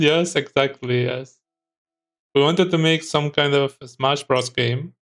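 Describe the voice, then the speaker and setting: Over music in the background, the speaker goes very slowly, with ordinary pitch variation. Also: man. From Spain. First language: Spanish. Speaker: game developer streamer. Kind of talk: casual livestream tutorial chat. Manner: hesitant, many fillers.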